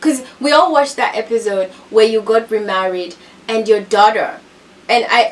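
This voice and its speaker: A woman with a non-native accent, an animated tone and fairly high pitch at a moderate pace, over noticeable background noise. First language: not English. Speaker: reality TV commentator. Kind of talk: casual commentary recap.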